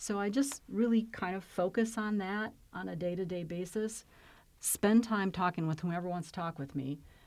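A woman with an American accent speaks in a normal speaking voice at medium pitch, with ordinary pitch variation, at a moderate pace, on a very clean recording with a silent background. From Flint, Michigan. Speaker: county health and human services executive. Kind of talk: interview.

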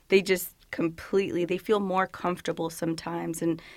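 A woman's fairly low voice at a moderate pace, fairly even in intonation, on a very clean recording with a silent background. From Woodbridge, northern Virginia, US. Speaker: police officer. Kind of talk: interview. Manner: casual, filler-heavy.

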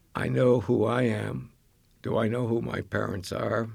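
The voice carries vocal fry and ordinary pitch variation. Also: man. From Maine, US. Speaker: genealogy group leader, retired army officer. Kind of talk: interview.

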